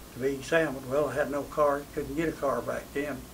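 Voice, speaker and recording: With monotone, flat intonation and a fairly high pitch, a man talks at a moderate pace over light background noise. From Tennessee, USA. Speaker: WWII veteran. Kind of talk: interview answer. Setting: interview setting.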